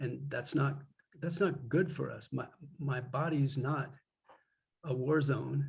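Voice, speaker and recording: Pausing long and often, a man with an American accent and vocal fry speaks at a very slow pace, his pitch fairly high and his intonation fairly even. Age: 70s. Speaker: poet with Parkinson's. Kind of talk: interview conversation. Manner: halting.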